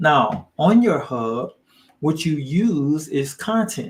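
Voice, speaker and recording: This man's voice comes across as somewhat breathy. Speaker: online business coach. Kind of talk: live training. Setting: livestream.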